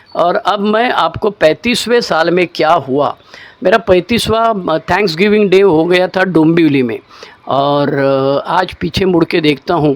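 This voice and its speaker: A man with a high pitch and lively intonation. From Maharashtra, India. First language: Marathi (speaking Hindi). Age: 60s. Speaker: recovering alcoholic sharing story. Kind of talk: testimony. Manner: casual, colloquial.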